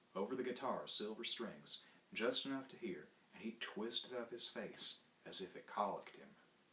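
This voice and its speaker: A man talks at a moderate pace in a medium pitch, his tone bright and sharp. Vocal fry runs through his voice. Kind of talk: short story reading.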